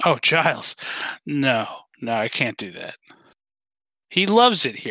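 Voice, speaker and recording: In a put-on character voice at a low-to-middle pitch, someone speaks at a fairly slow pace with very wide pitch swings and long, frequent pauses, on a very clean recording with a silent background. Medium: actual play. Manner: formal, stiff, uses "sir".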